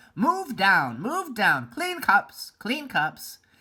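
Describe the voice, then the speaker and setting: Here is a put-on character voice at a fairly high pitch. The delivery is very slow. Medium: read story.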